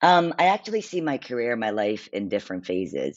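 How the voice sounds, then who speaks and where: Moderate pace and lively intonation from a man. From immigrated to the US at age eight. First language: not English. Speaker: payments and fintech executive. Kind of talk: podcast interview.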